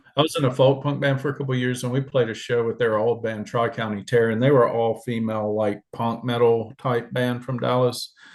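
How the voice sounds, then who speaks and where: Fairly quick pace, hardly any pauses, monotone flat intonation, and a quiet background. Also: man, medium pitch for a man. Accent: Alabama. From US South, Alabama. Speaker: musician, bassist and vocalist. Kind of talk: interview. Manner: casual.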